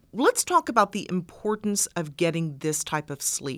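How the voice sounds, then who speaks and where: A woman with a normal speaking voice talks at a fairly low pitch with lively intonation. The recording is very clean and dry, close with no echo, and the background is silent. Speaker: podcast co-host. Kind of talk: interview.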